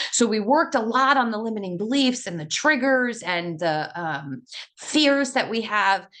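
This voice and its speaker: A woman's animated, bright, sharp voice at a fairly high pitch, with very wide pitch swings and a moderate pace. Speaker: life coach. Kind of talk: group coaching session. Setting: video call.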